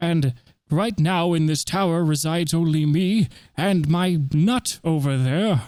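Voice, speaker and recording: A man puts on a character voice with a high pitch for a man, delivered at a fairly slow pace. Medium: actual play. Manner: pompous, rambling, forgetful.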